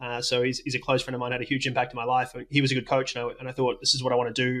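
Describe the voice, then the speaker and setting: A man with an Australian accent talks very fast at a medium pitch. His intonation is flat and monotone. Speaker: doctor, coach and tech startup worker. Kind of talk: interview.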